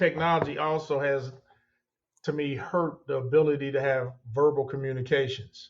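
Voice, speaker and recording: A fairly high male voice, an ordinary speaking voice, fairly quick in pace and fairly even in intonation. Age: 60s. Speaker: construction company owner. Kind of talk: interview.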